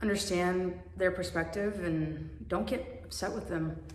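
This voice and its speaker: With an American accent, a woman speaks at a very slow pace amid audible room echo and noticeable background noise. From Russia, adopted to the US as a child. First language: Russian. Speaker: adoptee vlogger and author. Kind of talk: personal vlog talk to camera. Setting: home garage.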